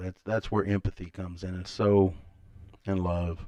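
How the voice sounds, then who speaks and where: A man with a Kentucky accent. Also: quiet background. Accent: Kentucky Southern US. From Kentucky, Elizabethtown. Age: 50s. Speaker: podcaster. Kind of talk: live stream monologue. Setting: home live stream. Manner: casual, rambling pace.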